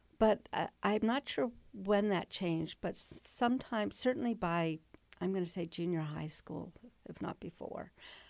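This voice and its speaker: A woman with an American accent speaks at a medium pitch and moderate pace, with lively intonation, in a plain, everyday voice. The recording is very clean, with a silent background. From US, Northern Virginia. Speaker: retired museum executive. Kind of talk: interview. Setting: radio studio.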